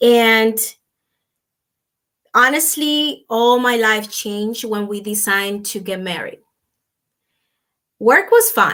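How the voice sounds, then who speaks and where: Speaking very slowly with a Dominican accent, a woman uses a bright, sharp tone and ordinary pitch variation, leaving long, frequent pauses. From Dominican Republic. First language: Spanish. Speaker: businesswoman and nutritionist. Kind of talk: interview. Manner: halting.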